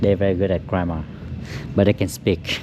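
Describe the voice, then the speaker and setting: A man with a Vietnamese accent speaks at a fairly quick pace in a very deep, low pitch with ordinary pitch variation. Noticeable background noise is present. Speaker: auto detailer. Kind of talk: casual chat. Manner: halting.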